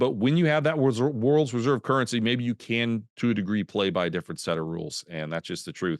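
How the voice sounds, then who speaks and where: Very fast pace and lively intonation over a quiet background. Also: man. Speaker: market strategist. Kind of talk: presentation. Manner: animated.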